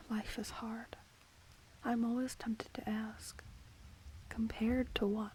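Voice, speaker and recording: Over noticeable background noise, a soft-spoken woman talks at a fairly high pitch. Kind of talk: ASMR quote reading.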